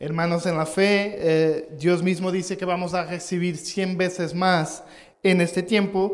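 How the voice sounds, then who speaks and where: Fairly slow and monotone, a man with a high pitch speaks in flat intonation over noticeable background noise. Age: 30s. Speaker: pastor. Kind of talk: sermon. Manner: halting.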